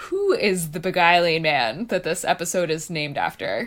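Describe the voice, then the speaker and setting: In an American accent, a woman with an unremarkable speaking voice talks fairly slowly at a medium pitch, her intonation lively. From Texas. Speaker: podcast co-host. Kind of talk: casual chat.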